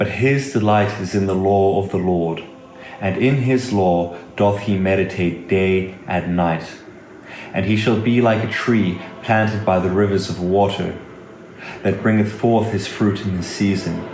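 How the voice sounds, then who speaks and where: A man speaks at a fairly slow pace in a fairly low voice with fairly even intonation, over noticeable background noise. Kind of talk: scripture reading.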